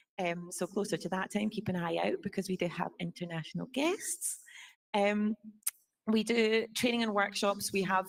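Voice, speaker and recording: A woman with a Scottish accent, medium-pitched, at a moderate pace with fairly even intonation. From Scotland. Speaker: student organization officer. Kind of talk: presentation to assembly. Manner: hesitant, many fillers.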